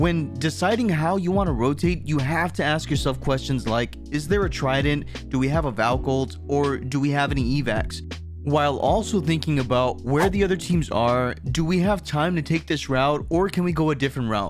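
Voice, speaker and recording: A man with a medium pitch talks at a moderate pace with hardly any pauses. His pitch swings very widely, and music plays in the background. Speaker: gaming content creator. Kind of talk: gaming tutorial narration.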